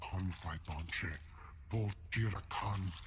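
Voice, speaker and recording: The speaker uses a put-on character voice. Loud background noise is present. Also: man, very deep, low pitch for a man. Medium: video game. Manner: speaks alien language throughout.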